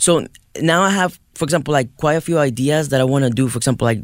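A man with a Mexican accent, fairly high pitch, ordinary pitch variation and a very fast pace. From Mexico. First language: Spanish. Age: 20s. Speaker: artist. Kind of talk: interview. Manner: enthusiastic.

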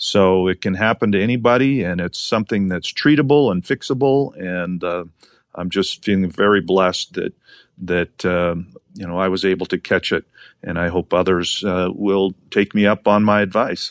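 Speaking at a moderate pace with ordinary pitch variation, this voice comes through dry and close with no echo over a quiet background. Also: man, very deep, low pitch for a man. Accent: American. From Montana. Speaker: state attorney general. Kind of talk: interview.

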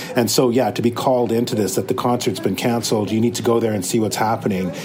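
Very even loudness against noticeable background noise. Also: man. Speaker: news videographer. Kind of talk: casual recounting of stories. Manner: casual, rambling, filler words.

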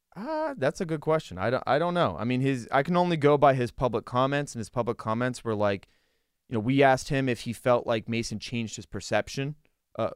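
A plain, everyday voice: a man with an American accent, medium pitch and ordinary pitch variation, at a fairly quick pace in a very clean recording with a silent background. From Western Pennsylvania. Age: 30s. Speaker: sports reporter. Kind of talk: casual chat. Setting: studio.

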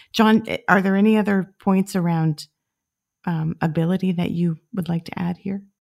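A woman with a plain, everyday voice speaks at medium pitch and a moderate pace with fairly even intonation, dry and close with no echo. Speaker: podcast host. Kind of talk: interview.

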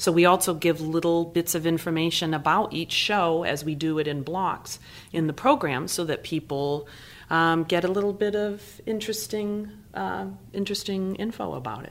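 Her unremarkable speaking voice is fairly low in pitch, and the woman talks at a moderate pace with ordinary pitch variation. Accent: American. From Massachusetts, New Bedford. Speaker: theater company artistic director. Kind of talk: casual interview. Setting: studio.

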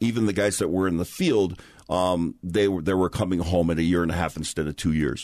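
A man talks with a very deep, low pitch. His pitch varies in an ordinary way over a quiet background. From Hawaii. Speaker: sports broadcaster and former football player. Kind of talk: casual interview chat.

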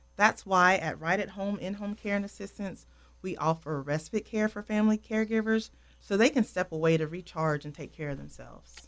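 A woman in a Southern US accent, medium pitch, ordinary pitch variation, fairly quick pace, and big swings in loudness. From North Carolina. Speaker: home care operations director. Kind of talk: radio interview. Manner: hesitant, frequent ums.

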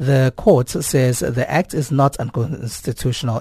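At a fairly slow pace, a man talks with a somewhat breathy, dark, mellow tone, medium pitch and fairly even intonation, the sound dry and close with no echo. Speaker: radio news presenter. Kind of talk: news broadcast. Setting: studio.

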